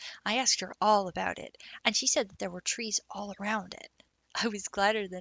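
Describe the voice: Plain reading aloud unfolds with fairly even intonation.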